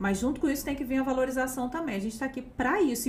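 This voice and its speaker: A woman talks in an animated tone at a high pitch with ordinary pitch variation. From Campos dos Goytacazes, Rio de Janeiro state, Brazil. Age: young. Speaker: historian and teacher, podcast co-host. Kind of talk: casual live chat. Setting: studio, live stream.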